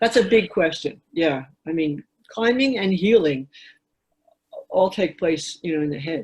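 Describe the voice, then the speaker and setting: Somewhat breathy and medium-pitched, a woman talks at a fairly slow pace with lively intonation and long, frequent pauses. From New York City. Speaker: author and climber. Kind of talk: casual interview.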